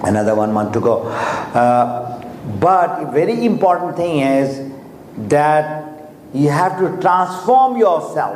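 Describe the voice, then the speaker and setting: A man's fairly high voice at a very slow pace, full of very wide pitch swings, with noticeable background noise and audible room echo. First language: Urdu or Hindi. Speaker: motivational speaker for a network marketing business. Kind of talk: motivational talk. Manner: halting.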